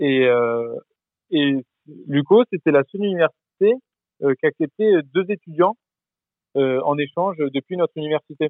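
This man's voice sits fairly high, with ordinary pitch variation. He leaves long pauses, and often. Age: 20s. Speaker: former exchange student. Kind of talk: interview. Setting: phone call. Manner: halting, many repetitions.

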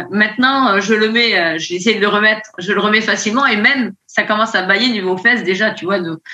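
Fairly high woman's voice, pitch varying in an ordinary way. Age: 50s. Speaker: nurse, coaching client. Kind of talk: testimony. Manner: hesitant.

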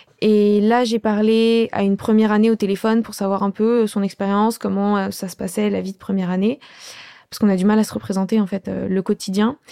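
The voice has a dark, mellow tone and a monotone, flat delivery at a fairly quick pace. The recording is very clean and dry, close with no echo, over a silent background. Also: woman, medium pitch for a woman. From Paris suburbs (Pontoise). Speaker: medical student. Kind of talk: interview testimony.

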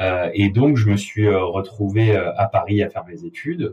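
The man's voice is somewhat breathy, with a dark, mellow tone. His pitch sits fairly low. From southern France, Avignon. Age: 20s. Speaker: bar owner. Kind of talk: interview. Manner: hesitant, many fillers.

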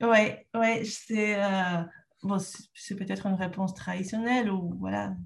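With a Peruvian accent, the somewhat breathy voice keeps a monotone, flat intonation at a fairly slow pace. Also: woman, medium pitch for a woman. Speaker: trainer and entrepreneur. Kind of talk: interview. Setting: rural home in northern France.

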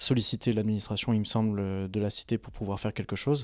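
A man with an ordinary speaking voice at a fairly low pitch, fairly quick in pace with fairly even intonation, on a very clean recording with a silent background. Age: 20s. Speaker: doctoral student, volunteer organizer. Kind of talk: casual interview talk.

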